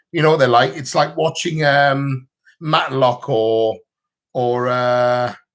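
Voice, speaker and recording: This man has a British accent and speaks at a fairly slow pace with ordinary pitch variation. The recording is very clean, with a silent background. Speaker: vlogger. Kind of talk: livestream chat. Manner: mumbling.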